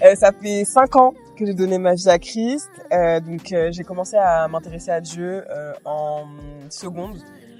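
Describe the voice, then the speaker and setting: With music in the background, a woman talks at a fairly slow pace with big swings in loudness. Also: medium pitch for a woman, ordinary pitch variation. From France, Mayenne (western France). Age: 20s. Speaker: dancer and student. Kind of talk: casual interview. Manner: hesitant, many fillers.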